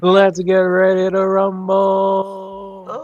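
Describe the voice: Over light background noise, a man uses a put-on character voice pitched high, with flat, monotone intonation.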